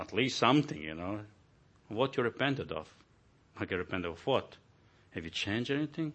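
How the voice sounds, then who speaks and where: The speaker talks at a fairly quick pace with a Croatian accent and vocal fry. The pitch swings very widely, broken by long, frequent pauses. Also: man, medium pitch for a man. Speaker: visiting pastor. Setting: church.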